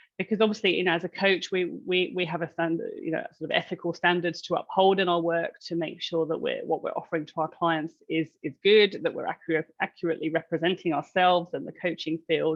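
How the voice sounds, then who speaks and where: A woman's fairly low-pitched voice, fairly even in intonation, at a fairly quick pace. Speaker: coaching supervisor. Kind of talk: webinar presentation. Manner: fast.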